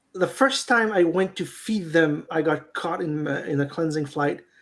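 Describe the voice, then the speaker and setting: The speaker talks at a moderate pace in a Quebec accent. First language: French. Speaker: beekeeper. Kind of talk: casual chat. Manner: halting.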